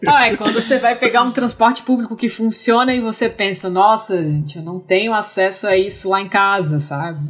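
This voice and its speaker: Over noticeable background noise, a woman speaks at a moderate pace with hardly any pauses, her fairly high pitch showing ordinary variation. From Brazil, Rio Grande do Norte, small inland town. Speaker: engineer and PhD student. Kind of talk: casual interview chat.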